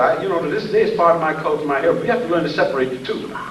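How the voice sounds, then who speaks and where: Noticeable background noise is present along with audible room echo. Through it, a man can be heard talking. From US South, southeast Georgia. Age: 70s. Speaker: professor. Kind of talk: lecture. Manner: animated.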